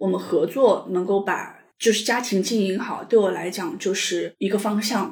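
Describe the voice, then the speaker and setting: A woman speaks at a fairly slow pace in a medium pitch, with a plain, everyday voice. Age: 40s. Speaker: divorced mother sharing her story. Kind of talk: personal story interview. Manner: calm.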